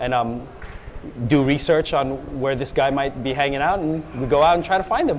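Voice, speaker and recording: Amid noticeable background noise and audible room echo, a man with an American accent talks at a moderate pace, his fairly high pitch showing ordinary variation. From US, San Francisco area. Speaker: police officer. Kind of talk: TV interview.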